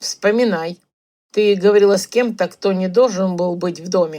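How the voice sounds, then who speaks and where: A woman puts on a character voice. She speaks at a moderate pace in a medium pitch. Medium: read story. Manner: terse, curt.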